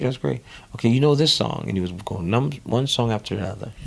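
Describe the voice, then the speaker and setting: Delivered at a very fast pace in a New Orleans accent, the speech has lively intonation and an animated tone. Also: man. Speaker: drummer. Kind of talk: interview. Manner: animated storytelling.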